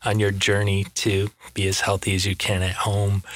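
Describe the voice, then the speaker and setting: A man with an American accent speaks in a plain, everyday voice at a moderate pace. His pitch is fairly low, and the sound is dry and close with no echo. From Michigan. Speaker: nurse. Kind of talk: casual interview.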